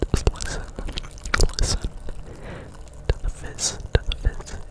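Whispering, a man speaks at a fairly slow pace. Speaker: ASMR creator. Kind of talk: soft ASMR chat. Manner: intimate whisper into the mic. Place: home room. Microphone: studio mic.

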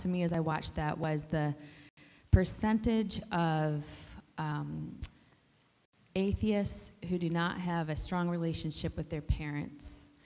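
Speaking at a fairly slow pace, a woman uses a fairly low pitch with ordinary variation. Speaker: parent of the student; audience member. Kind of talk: heartfelt praise. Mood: warm, earnest. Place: meeting room. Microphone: handheld.

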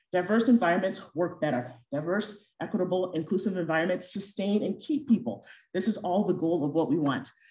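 A woman's somewhat breathy, dark and mellow voice at a fairly quick pace, lively intonation, hardly any pauses, audible room echo and a quiet background. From Ghana. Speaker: physician and professor; presenter. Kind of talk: lecture. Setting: auditorium with audience, also streamed on Zoom. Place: hall.

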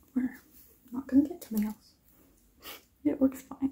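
A woman with a high pitch talks over light background noise. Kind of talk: role-play chat to camera. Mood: gentle, friendly. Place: home room. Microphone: phone near.

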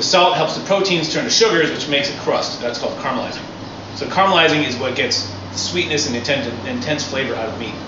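A man talks at a very fast pace, with noticeable background noise and audible room echo in the recording. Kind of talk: tutorial. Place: street.

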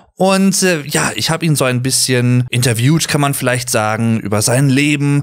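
Against noticeable background noise, a man speaks at a moderate pace and medium pitch with hardly any pauses, very even loudness and ordinary pitch variation. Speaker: podcast host. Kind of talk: podcast intro talk.

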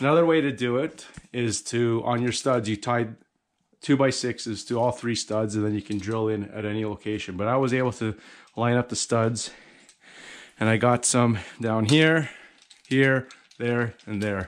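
At a moderate pace, a man speaks with fairly even intonation and long, frequent pauses. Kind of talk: tutorial. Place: garage. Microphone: phone near.

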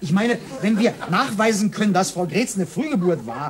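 Light background noise sits under a man's high-pitched voice, which has ordinary pitch variation. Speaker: talk show guest. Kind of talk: comic talk show monologue. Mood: indignant, comic complaining. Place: studio.

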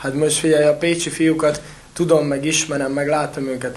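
A man's monotone, flat delivery against noticeable background noise. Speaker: water polo podcast co-host. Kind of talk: casual chat.

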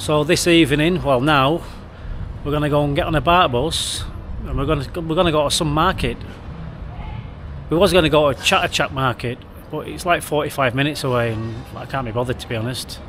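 Someone talks at a fairly quick pace with ordinary pitch variation over light background noise. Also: man. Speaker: travel vlogger. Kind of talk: casual vlog chat. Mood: upbeat and cheerful. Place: street. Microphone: phone near.

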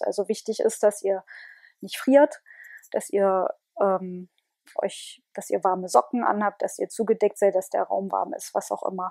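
At a fairly slow pace, a woman talks in a dry sound with no echo over a quiet background. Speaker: relaxation guide. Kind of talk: guided meditation. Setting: home, with headset microphone. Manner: calm, slow, soothing, repetitive. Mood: calm, soothing. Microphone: earbuds.

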